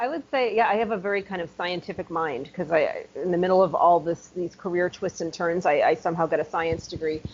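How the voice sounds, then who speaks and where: Her pace is very fast. The woman's pitch is medium, with ordinary pitch variation. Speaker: ghostwriter and author. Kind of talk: podcast interview. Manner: upbeat.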